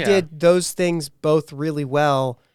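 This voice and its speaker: He speaks with a Pittsburgh accent. This man's pitch is fairly high. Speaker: podcast host. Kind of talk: casual podcast talk.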